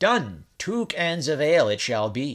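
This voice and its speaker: A man's put-on character voice, fairly high in pitch, with very wide pitch swings at a fairly slow pace. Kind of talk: fairy tale reading. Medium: read story. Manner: boastful, defiant.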